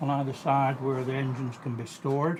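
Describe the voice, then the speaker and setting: A man talks in a room with audible echo. Noticeable background noise runs behind him. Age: 70s. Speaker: model railway hobbyist. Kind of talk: guided tour interview. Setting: at home, garden and garage. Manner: casual, hesitant.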